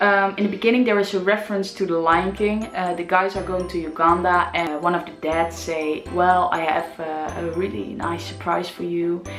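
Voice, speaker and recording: A woman's medium-pitched voice with a Dutch accent, enthusiastic in tone, at a moderate pace with hardly any pauses, and music in the background. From Netherlands. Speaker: theatre vlogger. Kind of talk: casual review talk to camera.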